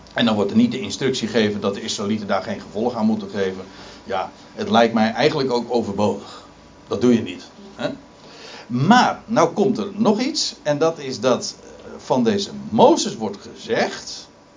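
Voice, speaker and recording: With noticeable background noise around him, a man's voice moves through very wide pitch swings. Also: medium pitch for a man, moderate pace. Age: 50s. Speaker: preacher. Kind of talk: sermon. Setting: church. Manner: halting.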